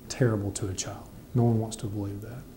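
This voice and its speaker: A man's somewhat breathy voice has a dark, mellow tone and monotone, flat intonation. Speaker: district attorney's office representative. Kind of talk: interview answer.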